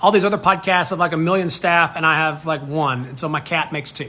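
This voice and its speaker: Speaking at a very fast pace, a man with an American accent has a high pitch. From US South, North Alabama. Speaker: podcast host. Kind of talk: casual Q&A monologue. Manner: casual, upbeat.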